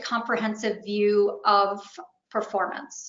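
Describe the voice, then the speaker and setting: A woman at a fairly slow pace. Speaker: webinar presenter. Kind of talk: webinar presentation. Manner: hesitant with fillers.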